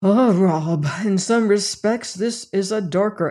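A natural voice reading aloud, its pitch varying in an ordinary way

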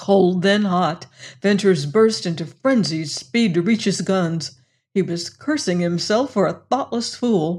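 The background stays quiet. Over it comes plain reading aloud, the pitch varying in an ordinary way.

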